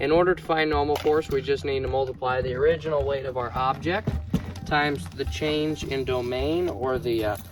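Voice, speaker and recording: The talking proceeds at a moderate pace. Behind it, there is music in the background. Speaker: physics educator. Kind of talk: tutorial explanation to camera. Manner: casual, folksy.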